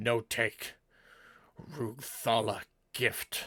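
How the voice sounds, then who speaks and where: A man growls in a put-on character voice pitched in the medium range. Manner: terse, clipped speech.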